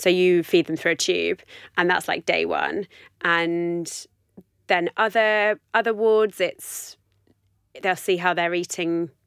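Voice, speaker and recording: A woman with a London accent at a fairly low pitch, with fairly even intonation, a very slow pace and long, frequent pauses, in a dry, close sound with no echo on a very clean recording with a silent background. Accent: southern English (London). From West London, England. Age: 30s. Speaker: running blogger and dietetics student. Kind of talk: casual interview chat.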